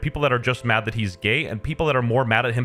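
A man's voice with faint music in the background. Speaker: video commentator. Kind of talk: commentary. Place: home room.

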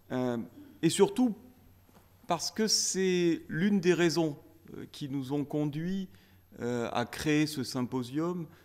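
A man speaks with lively intonation. His pitch sits fairly high. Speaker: law academic; presenter. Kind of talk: conference speech. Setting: stage with audience. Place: meeting room. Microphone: podium.

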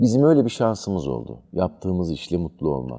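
With a dark, mellow tone, a man talks at a moderate pace while his pitch swings very widely. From Turkey, Izmir. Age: 50s. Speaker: theatre director and actor. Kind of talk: interview.

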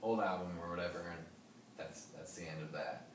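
There is noticeable background noise and audible room echo. A man speaks with a very deep, low pitch. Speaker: interviewee. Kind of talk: interview answer. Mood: relaxed, casual. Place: home room. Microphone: camera far.

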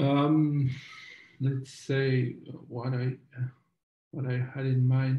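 A man with a French accent speaks at a very slow pace and a medium pitch, his monotone, flat intonation broken by long, frequent pauses. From France. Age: 30s. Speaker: documentary filmmaker. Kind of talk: interview. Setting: video call. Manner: halting.

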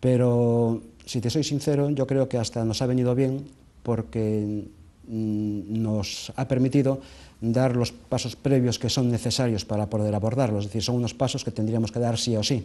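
The voice has a dark, mellow tone, fairly even intonation, and a moderate pace. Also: man. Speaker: association president. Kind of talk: interview answer. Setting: TV studio. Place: studio.

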